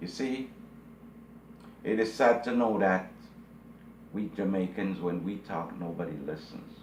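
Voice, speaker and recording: A man's fairly low voice at a fairly slow pace, with long, frequent pauses, ordinary pitch variation and audible room echo. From Jamaica. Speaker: video blogger. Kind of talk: commentary monologue. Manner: emphatic, repetitive.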